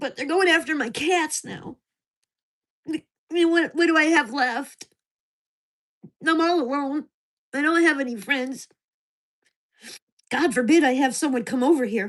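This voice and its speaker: Speaking fairly slowly with long, frequent pauses, a woman uses a high pitch with ordinary pitch variation. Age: 60s. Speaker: gig worker livestreamer. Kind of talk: casual livestream chat.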